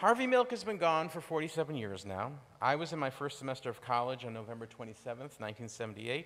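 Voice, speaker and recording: At a very fast pace, a man talks in a medium pitch with lively intonation. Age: 60s. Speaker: lay speaker at a congregation. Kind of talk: sermon.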